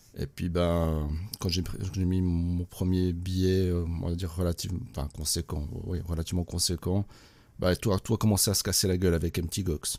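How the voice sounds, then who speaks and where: A man with a Swiss accent speaks at a moderate pace in a very deep, low voice with a dark, mellow tone and fairly even intonation. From Switzerland, Neuchâtel. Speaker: crypto investor, former IT manager. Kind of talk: casual group chat. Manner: hesitant, many fillers.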